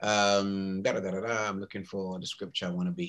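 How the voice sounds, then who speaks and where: A man with a British accent speaks in a fairly low pitch with a bright, sharp tone. His pace is moderate and his pitch variation ordinary. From England. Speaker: pastor. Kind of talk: sermon. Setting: video call. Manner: animated. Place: home room. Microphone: webcam.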